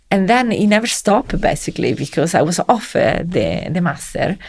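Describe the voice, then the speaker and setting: With an Italian accent, a woman speaks at a moderate pace in a medium pitch, her pitch varying in an ordinary way. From Italy (Rome). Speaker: civil servant in education policy. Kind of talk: interview conversation. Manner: halting.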